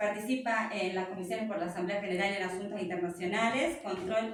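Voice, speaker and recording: With audible room echo and noticeable background noise, a woman talks at a fairly quick pace using fairly even intonation. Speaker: moderator and communicator. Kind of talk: panel introduction. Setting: public talk, speaking without microphone.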